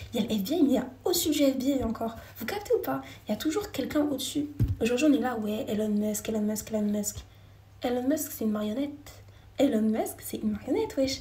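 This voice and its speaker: A woman speaks at a fairly quick pace in a high voice, with noticeable background noise and audible room echo. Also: lively intonation. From France. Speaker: live streamer. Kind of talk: casual live chat with viewers. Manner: fast.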